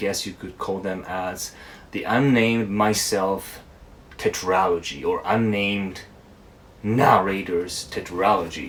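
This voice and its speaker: Very slow speech carries an ordinary amount of pitch movement. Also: man. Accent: Japanese. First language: Japanese. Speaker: book reviewer. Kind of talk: casual book review monologue.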